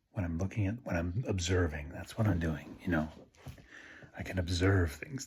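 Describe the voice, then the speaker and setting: A somewhat breathy, quiet voice with ordinary pitch variation. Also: man. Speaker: Buddhist video blogger. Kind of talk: casual monologue. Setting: at home at night. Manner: quiet, low-toned; halting, many fillers.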